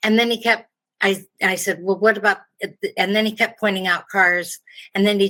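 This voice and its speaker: The voice is a woman's, with a bright, sharp tone. Her intonation stays flat and monotone. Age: 70s. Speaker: customer sharing a complaint. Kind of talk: testimony. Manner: halting.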